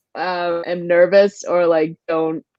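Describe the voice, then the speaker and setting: A woman is heard with a dry, close sound and no echo. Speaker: voiceover artist. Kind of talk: panel discussion. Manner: fast.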